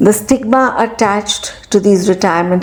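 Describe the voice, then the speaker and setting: A woman at a fairly slow pace, with noticeable background noise behind her. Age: 60s. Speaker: retired teacher. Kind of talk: personal talk.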